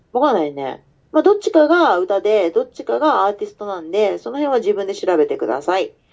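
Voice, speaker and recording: The loudness of a woman's voice rises and falls sharply. She talks fairly fast. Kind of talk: casual chat.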